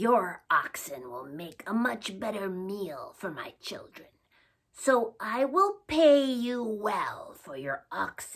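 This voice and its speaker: In a put-on character voice, a female-sounding speaker growls loudly in a gravelly tone at a fairly high pitch and a very slow pace. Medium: read story. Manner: commanding.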